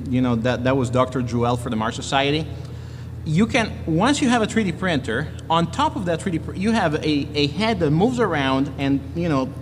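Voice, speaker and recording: A man speaks at a fairly quick pace with a fairly high pitch and very wide pitch swings. Noticeable background noise can be heard. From Italy. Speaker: engineer and maker. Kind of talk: lightning talk with Q&A. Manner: halting, many restarts.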